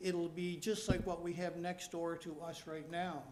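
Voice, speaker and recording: In a room with audible echo, a man with a high pitch talks at a moderate pace. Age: 80s+. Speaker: resident at public meeting. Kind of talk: public meeting presentation. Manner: halting.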